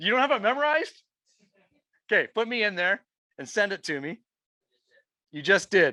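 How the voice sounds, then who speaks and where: With a Canadian accent and a raised, projected voice, this speaker talks at a fairly quick pace in a bright, sharp, animated tone, swinging the pitch very widely and breaking off for long, frequent pauses. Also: man, high pitch for a man, big swings in loudness, dry, close sound with no echo. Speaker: real estate agent and trainer. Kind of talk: live software training session. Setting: room with live audience, also streamed online.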